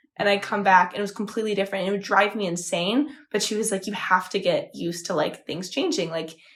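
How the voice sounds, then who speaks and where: A woman at a very fast pace, amid noticeable background noise. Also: medium pitch for a woman, ordinary pitch variation, hardly any pauses. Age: 20s. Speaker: podcast co-host. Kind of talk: casual chat.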